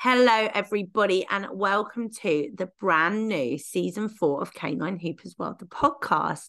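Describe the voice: A woman talks at a moderate pace with a fairly bright tone. Her intonation is lively.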